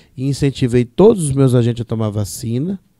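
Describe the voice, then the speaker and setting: A dark, mellow tone carries ordinary pitch variation. The sound is dry with no echo, over a quiet background. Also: man. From Brazil, São Paulo state coast (São Sebastião); São Paulo, Brazil. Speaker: parish priest. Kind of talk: interview. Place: studio. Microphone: studio mic.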